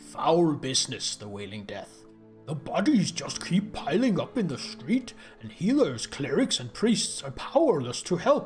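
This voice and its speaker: Delivered at a moderate pace in a middle pitch, this put-on character voice swings very widely in pitch over clear background music. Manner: gruff, put-on character voice.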